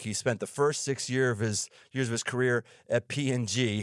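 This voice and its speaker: On a very clean recording with a silent background, a man in an ordinary speaking voice talks at a moderate pace, with a dry, close sound and no echo. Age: middle-aged. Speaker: pastor and podcast host. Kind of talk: casual interview chat; scripted show intro.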